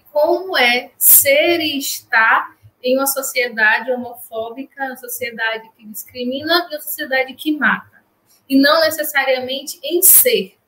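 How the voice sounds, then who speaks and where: A woman speaks in a raised, projected voice with a high pitch and a bright, sharp tone. Her pace is fairly slow, with ordinary pitch variation. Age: 30s. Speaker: clinical psychologist. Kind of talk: interview.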